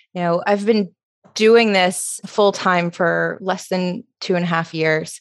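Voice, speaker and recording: A woman with an American accent and a medium pitch speaks at a very slow pace, her intonation fairly even. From US South, Alabama (Tuscaloosa). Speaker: social media creator and coach. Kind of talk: interview.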